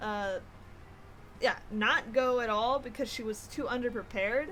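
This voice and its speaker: Loud and fairly slow, a woman speaks with a high pitch and fairly even intonation. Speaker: video game streamer. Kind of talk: casual gameplay commentary. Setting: live stream. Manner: casual, filler-heavy.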